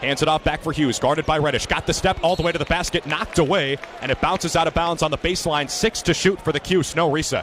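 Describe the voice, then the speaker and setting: An excited man with a fairly high pitch races along at a very fast pace with hardly any pauses and very even loudness, over noticeable background noise. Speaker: student sports broadcaster. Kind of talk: live college basketball play-by-play. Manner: fast, excited, dynamic.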